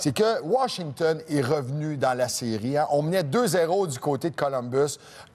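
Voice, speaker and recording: Speaking with a Quebec accent, a man uses a fairly high pitch, lively intonation and an animated tone. He talks at a fairly slow pace against a quiet background. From Quebec, Baie-Comeau. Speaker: sports TV host. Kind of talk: casual chat.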